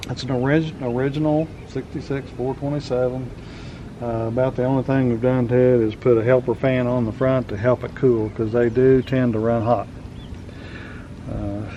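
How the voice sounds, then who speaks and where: A man speaks at a moderate pace with a medium pitch and a flat, monotone delivery over noticeable background noise. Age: old. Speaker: car collector. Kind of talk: casual chat.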